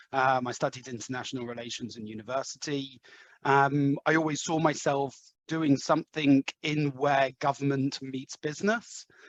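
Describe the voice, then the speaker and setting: A man with an English accent, fairly high-pitched, at a moderate pace with fairly even intonation, in a dry, close sound with no echo. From London, England. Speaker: head of sales. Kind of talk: podcast interview. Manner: hesitant, many fillers.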